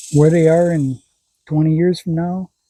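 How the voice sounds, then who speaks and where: The recording is dry and close with no echo, capturing a man with a fairly high pitch and a dark, mellow tone. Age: 60s. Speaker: vlogger, grandparent raising grandchildren. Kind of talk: casual personal vlog. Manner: halting, with self-corrections.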